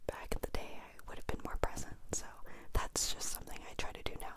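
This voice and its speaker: Whispering and soft-spoken, a woman talks at a fairly quick pace. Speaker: vlogger. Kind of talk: casual vlog chat. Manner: soft close-mic whisper. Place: home room. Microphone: handheld.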